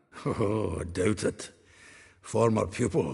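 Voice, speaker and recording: A man puts on a raspy character voice at a fairly low pitch. He delivers it at a fairly slow pace. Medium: video game. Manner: chuckling, folksy.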